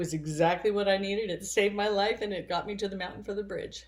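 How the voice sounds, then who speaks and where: A woman with a medium-pitched voice talks at a very fast pace with hardly any pauses and fairly even intonation. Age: 60s. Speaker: spiritual vlogger. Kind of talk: personal monologue.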